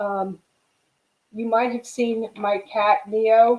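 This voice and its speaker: A woman with a dark, mellow tone. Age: 60s. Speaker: fiction editor. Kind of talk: online panel talk. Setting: video call. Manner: casual.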